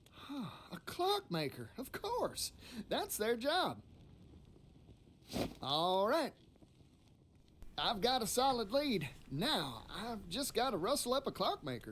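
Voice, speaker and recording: In a put-on character voice, the speaker drawls at a fairly slow pace, leaving long, frequent pauses. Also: man, extremely high pitch for a man. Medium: video game. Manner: folksy, drawling.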